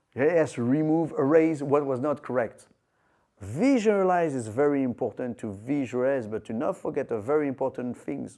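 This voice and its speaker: In a French accent, a man talks at a fairly slow pace and a medium pitch. His pitch variation is ordinary, and the background is quiet. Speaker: martial arts teacher. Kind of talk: lecture. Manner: halting.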